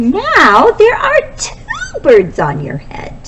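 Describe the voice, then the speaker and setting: Against clear background noise, a woman puts on a squeaky character voice, extremely high in pitch and very slow in pace. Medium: read story. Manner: calm, plain-spoken.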